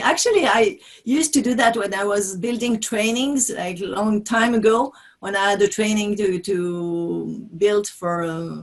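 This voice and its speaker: A moderate pace carries the speech. It is delivered with a French accent. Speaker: business trainer and author. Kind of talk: interview. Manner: halting.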